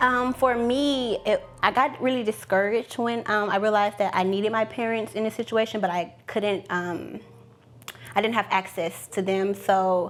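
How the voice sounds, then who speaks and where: Over music in the background, a woman with a fairly high pitch speaks at a moderate pace with fairly even intonation. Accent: American. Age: young. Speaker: young abortion storyteller. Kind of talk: testimony. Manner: halting.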